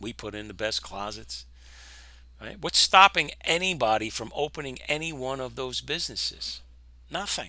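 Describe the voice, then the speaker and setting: A man with an American accent and a medium-pitched voice speaks in an animated, bright, sharp tone with vocal fry, very wide pitch swings and big swings in loudness. He keeps a moderate pace broken by long, frequent pauses. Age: 60s. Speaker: trading educator, former construction worker. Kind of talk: casual video monologue. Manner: animated, conversational.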